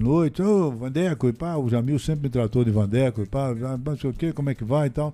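Music plays behind a man talking at a fairly quick pace. His pitch sits in the medium range. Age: 60s. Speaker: radio broadcaster. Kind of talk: interview, storytelling. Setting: studio.

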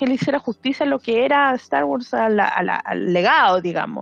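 A woman talks at a fairly quick pace, her high voice making very wide pitch swings. The sound is dry and close, with no echo. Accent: Chilean. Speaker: podcast co-host. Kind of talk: casual chat.

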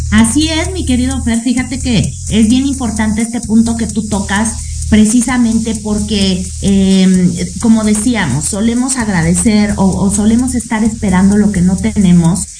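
A woman at a fairly slow pace with hardly any pauses, amid noticeable background noise and audible room echo. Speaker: radio host. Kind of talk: casual chat.

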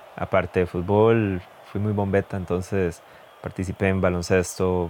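Over a very clean recording with a silent background, a man with a Costa Rican accent speaks fairly slowly in a very deep, low voice with monotone, flat intonation. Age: 30s. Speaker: physiotherapist. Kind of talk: podcast monologue.

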